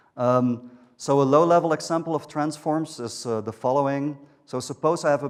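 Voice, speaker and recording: A man speaks with a Dutch accent. His pitch variation is ordinary. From Netherlands. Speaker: software engineer. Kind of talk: conference talk. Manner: hesitant, many fillers.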